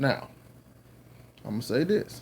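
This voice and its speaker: A man with a Southern US accent talks at a fairly slow pace. His tone is dark and mellow. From US South. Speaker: religious teacher, video blogger. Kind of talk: lecture. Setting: at home. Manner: casual, halting.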